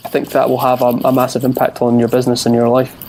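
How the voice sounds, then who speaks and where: A man with a Scottish accent talks at a fairly quick pace. Noticeable background noise is present. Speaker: entrepreneur, podcast guest. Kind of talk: interview answer.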